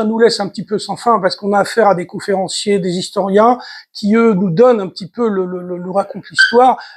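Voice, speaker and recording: The speech comes at a fairly quick pace with ordinary pitch variation on a very clean recording with a silent background. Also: man. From Tunisia. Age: 70s. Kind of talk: talk to community audience. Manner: halting, many repetitions.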